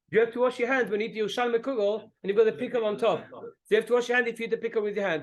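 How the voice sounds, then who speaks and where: A man speaks at a very fast pace. His pitch is high and his intonation fairly even. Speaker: rabbi teaching a class. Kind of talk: religious lecture with discussion.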